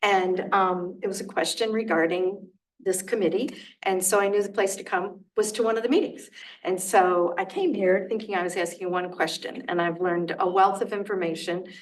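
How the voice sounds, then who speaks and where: The speaker's fairly even intonation comes through with audible room echo. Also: woman, medium pitch for a woman. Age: old. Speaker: resident giving public comment. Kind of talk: public comment at a committee meeting. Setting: township committee meeting. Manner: fast.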